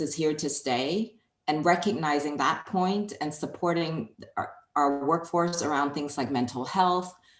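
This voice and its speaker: A woman talks at a moderate pace with ordinary pitch variation. Her pitch is very deep and low. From Hong Kong. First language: Chinese. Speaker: HR executive. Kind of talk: interview.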